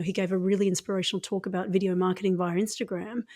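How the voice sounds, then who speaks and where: With an Australian accent, a woman speaks at medium pitch in a somewhat breathy voice with a dark, mellow tone, on a very clean recording with a silent background. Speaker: acupuncturist. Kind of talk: interview conversation.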